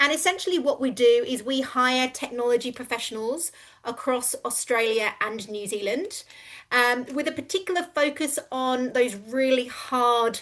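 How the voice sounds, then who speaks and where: A woman with a London accent, high-pitched, at a moderate pace against a quiet background. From England, London. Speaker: recruitment company co-founder. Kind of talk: business pitch.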